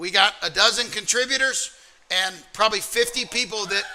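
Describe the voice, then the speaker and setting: A man's raised, projected voice, high-pitched with ordinary pitch variation, with an American accent, over noticeable background noise. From US South, Alabama. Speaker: trading mentor and community co-owner. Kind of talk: livestream trading workshop talk. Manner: fast.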